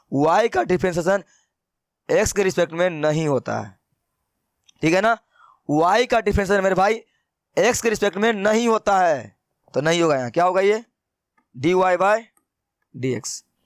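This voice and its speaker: A high-pitched man speaks with lively intonation at a moderate pace. He leaves long, frequent pauses, and the sound is dry and close with no echo. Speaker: math teacher. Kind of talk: lecture. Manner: less loud than usual; conversational.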